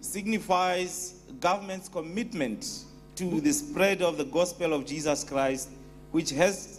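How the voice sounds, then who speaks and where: Fairly slow male speech over faint background music. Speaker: guest. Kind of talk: formal ceremonial speech. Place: church.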